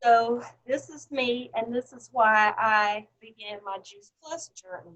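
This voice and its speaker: Speaking at a very slow pace in a Southern US accent, a woman's fairly high voice shows ordinary pitch variation and big swings in loudness. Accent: Southern drawl. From US South. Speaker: health supplement franchise owner. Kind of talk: interview testimony.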